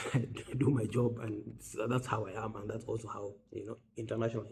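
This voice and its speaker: A man's medium-pitched, flat monotone at a fairly quick pace, over noticeable background noise. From West Africa. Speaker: humanitarian doctor. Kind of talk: personal storytelling monologue. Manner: fast.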